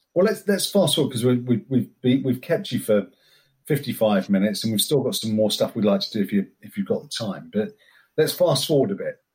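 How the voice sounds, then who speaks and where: A somewhat breathy man talks at a moderate pace. His pitch sits at a medium level but swings very widely. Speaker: podcast host. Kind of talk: casual interview chat.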